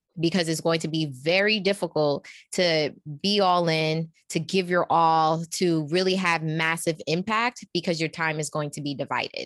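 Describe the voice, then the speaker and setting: In a New York accent, a woman speaks at a fairly low pitch with fairly even intonation. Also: moderate pace, quiet background. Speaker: executive coach. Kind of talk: casual interview.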